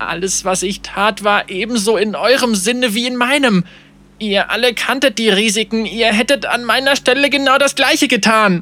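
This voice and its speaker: A man puts on a shaky character voice pitched high. He keeps a moderate pace with ordinary pitch variation. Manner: defensive, justifying himself.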